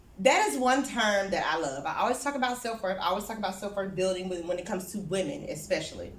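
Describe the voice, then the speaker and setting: Speaking in an animated tone with lively intonation, a woman is heard with audible room echo. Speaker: therapist and speaker. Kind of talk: talk at a small networking event. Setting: small in-person event with audience. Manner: loud.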